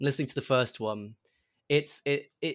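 At a fairly quick pace, a man of medium pitch talks in an unremarkable speaking voice. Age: young. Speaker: podcast showrunner and writer. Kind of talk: casual chat.

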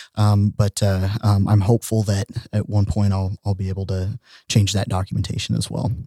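Fairly low and dark, mellow in tone, a man's somewhat breathy voice stays monotone and flat, sounding dry and close with no echo on a very clean recording with a silent background. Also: moderate pace. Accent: American. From Oklahoma (Tulsa). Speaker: transgender advocate, corporate manager. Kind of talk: casual chat. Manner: halting, many fillers and repetitions.

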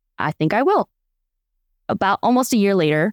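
Recorded very cleanly against a silent background, with a dry, close sound with no echo, a woman talks at a fairly quick pace in an Upper Midwest accent. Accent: Upper Midwest American. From Wisconsin. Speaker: life coach. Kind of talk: interview storytelling.

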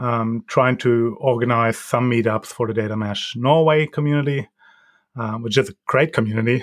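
Against a quiet background, a man talks at a moderate pace and medium pitch with fairly even intonation. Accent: German. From Germany. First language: German. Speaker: data governance consultant. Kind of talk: interview. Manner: halting, many ums.

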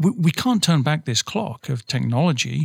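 Fairly quick and somewhat breathy, a man speaks with ordinary pitch variation in a dry, close sound with no echo. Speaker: podcast host. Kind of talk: casual chat. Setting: studio.

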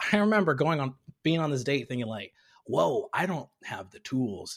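Somewhat breathy, a man with an American accent speaks at a fairly high pitch with very wide pitch swings. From Tanzania, raised partly there and in US. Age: 30s. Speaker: comedian and content creator. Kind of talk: casual interview chat.

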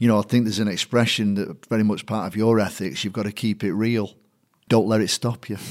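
A man's fairly low voice with a Mancunian accent, very fast and fairly even in intonation, on a very clean recording with a silent background. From Manchester, England (Chorlton-on-Medlock), Irish family. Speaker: stadium announcer and MC. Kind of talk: casual interview.

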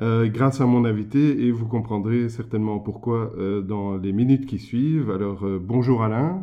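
Here is a man with a plain, everyday voice and medium pitch. His pace is fairly slow, and his pitch variation is ordinary. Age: 50s. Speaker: podcast host and entrepreneur. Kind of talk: interview.

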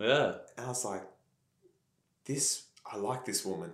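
Speaking at a fairly slow pace with an Australian accent, a man's somewhat breathy, medium-pitched voice comes through with audible room echo. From Australia, country Victoria. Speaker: pastor. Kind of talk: casual chat.

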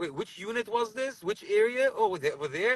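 Loud and projected, this man's animated voice sits high for a man, with a bright, sharp tone, very wide pitch swings, a fairly quick pace and a dry, close sound with no echo. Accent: American. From US Northeast, Borough Park, Brooklyn. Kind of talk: casual chat.

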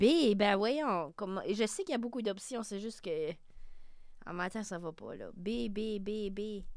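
On a very clean recording with a silent background, a woman speaks very slowly at a medium pitch, with long, frequent pauses, lively intonation and big swings in loudness. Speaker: campus radio host. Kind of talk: casual chat.

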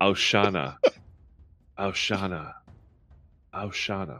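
A man's put-on character voice, fairly low in pitch, mumbling at a fairly slow pace over music in the background. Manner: mumbling under the breath, repeating one word.

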